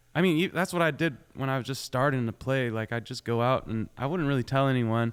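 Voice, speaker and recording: A man speaks at a fairly quick pace and medium pitch with ordinary pitch variation. The recording is very clean, with a silent background. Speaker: country singer-songwriter. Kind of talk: radio interview. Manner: casual, halting with many repeats.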